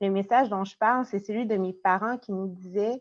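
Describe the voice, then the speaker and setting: In a Quebec French accent, a woman talks at a fairly quick pace in a medium pitch with fairly even intonation, over a quiet background. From Quebec, Trois-Rivières. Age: 30s. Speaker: doctor, town hall speaker. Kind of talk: personal statement.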